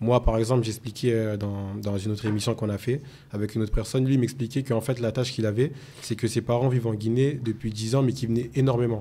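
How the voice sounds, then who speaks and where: Very fast pace from this man. His intonation is monotone and flat. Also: medium pitch for a man. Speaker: podcast host. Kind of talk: interview.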